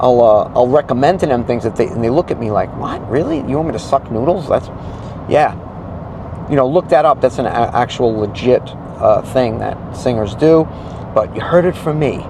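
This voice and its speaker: A man speaks at a moderate pace and a medium pitch, with ordinary pitch variation. He takes long, frequent pauses, and noticeable background noise is present. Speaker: solo acoustic musician and vocal teacher. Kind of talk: casual vlog talk to camera.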